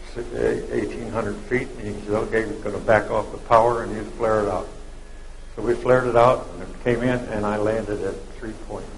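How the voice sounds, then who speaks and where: A man's voice shows big swings in loudness. There's audible room echo and noticeable background noise. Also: fairly quick pace. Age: 90s. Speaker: war veteran. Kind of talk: live interview. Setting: dinner event with audience.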